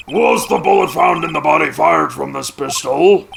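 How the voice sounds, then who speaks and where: A man's raspy, put-on character voice at a moderate pace. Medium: game stream. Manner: haughty, commanding.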